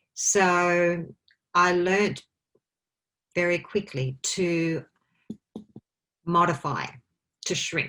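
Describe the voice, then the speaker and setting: At a very slow pace with long, frequent pauses, a woman with an Australian accent speaks in a fairly low pitch with fairly even intonation. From Australia, country Victoria. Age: 50s. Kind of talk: interview chat.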